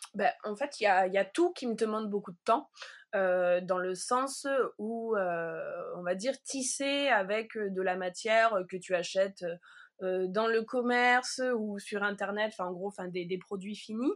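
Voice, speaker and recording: Against a very clean, silent background, a woman talks at a very slow pace with ordinary pitch variation. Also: medium pitch for a woman. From Provence, southern France. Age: 30s. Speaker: wool artist. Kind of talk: casual interview. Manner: halting.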